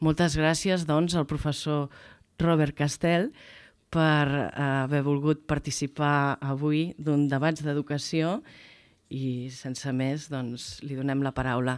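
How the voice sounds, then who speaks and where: Over a quiet background, a woman speaks in a very deep, low pitch. Her pace is very slow. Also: fairly even intonation. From Catalonia. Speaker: foundation education director; guest. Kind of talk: speaker introduction. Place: hall. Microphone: podium.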